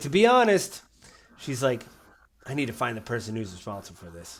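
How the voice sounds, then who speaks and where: Using a put-on character voice, a man with a raspy sound and medium pitch speaks at a fairly quick pace. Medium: actual play.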